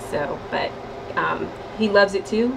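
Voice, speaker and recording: Noticeable background noise runs under the recording. A woman speaks with an American accent. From US Northwest (Tacoma, Washington); Washington. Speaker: Air Force master sergeant. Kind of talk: radio interview; interview answer. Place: office.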